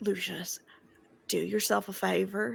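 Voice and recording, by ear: This is a put-on character voice, raspy and low in pitch. It moves at a fairly slow pace. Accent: South Carolina.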